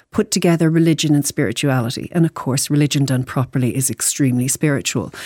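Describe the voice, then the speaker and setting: In an Irish accent, a woman speaks at a fairly quick pace with a dark, mellow tone. The recording is very clean, with a silent background and a dry, close sound with no echo. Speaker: psychologist and author. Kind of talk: radio interview. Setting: studio.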